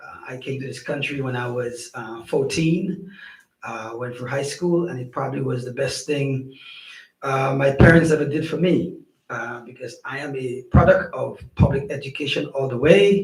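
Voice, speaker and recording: Somewhat breathy and fairly high-pitched, a man with a Saint Lucian accent speaks with ordinary pitch variation and big swings in loudness, with audible room echo. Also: moderate pace. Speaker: school superintendent. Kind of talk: council meeting introduction. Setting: town council meeting.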